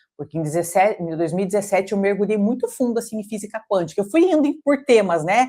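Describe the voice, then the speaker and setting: A woman in a Brazilian accent, medium-pitched and dark, mellow in tone, at a very fast pace with lively intonation. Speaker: coach and holistic therapist. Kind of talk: intimate interview conversation. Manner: halting, many repetitions and fillers.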